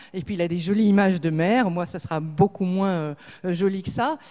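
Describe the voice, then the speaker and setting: A woman is speaking. Her tone is dark and mellow. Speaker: association head / speaker on plastics recycling. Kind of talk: conference talk. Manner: fast.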